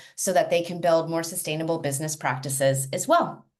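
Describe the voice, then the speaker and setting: Recorded with audible room echo, a woman with an American accent speaks at a fairly low pitch with ordinary pitch variation. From US, California Bay Area. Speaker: education and technology consultant. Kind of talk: webinar panel introduction.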